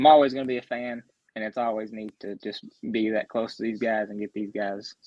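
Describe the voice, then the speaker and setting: In an American accent, a man talks very fast at a medium pitch with monotone, flat intonation. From Grayson County, central Kentucky. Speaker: sports blogger and analyst. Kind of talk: casual sports chat.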